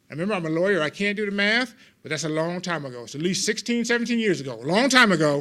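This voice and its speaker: Loud and projected, a man with an American accent and a bright, sharp tone speaks very fast with very wide pitch swings in a very clean recording with a silent background. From Los Angeles, US. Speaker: lawyer and legal humorist giving a CLE talk. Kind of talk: humorous continuing legal education talk. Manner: animated.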